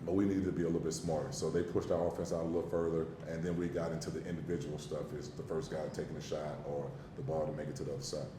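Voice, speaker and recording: This man talks at a very fast pace, his pitch very deep and low, with ordinary pitch variation. Audible room echo and noticeable background noise surround his voice. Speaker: basketball coach. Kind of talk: press conference. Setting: press conference room. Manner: animated.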